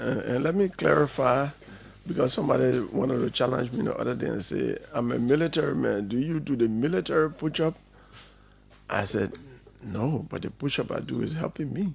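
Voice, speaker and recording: With vocal fry and very wide pitch swings, a man at medium pitch speaks fairly quickly. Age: 60s. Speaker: politician and lawyer. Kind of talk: radio interview.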